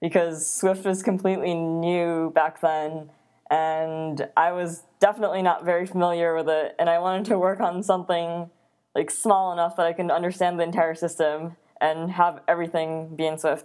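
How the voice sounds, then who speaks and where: In an American accent, a woman with a fairly low pitch speaks at a moderate pace in an ordinary speaking voice, on a very clean recording with a silent background. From Netherlands and US East Coast. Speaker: software engineer. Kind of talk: casual interview chat.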